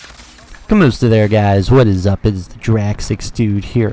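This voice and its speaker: The speaker is a man with a medium pitch. He talks at a fairly slow pace. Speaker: gaming YouTuber. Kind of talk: unscripted video commentary. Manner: halting, self-correcting.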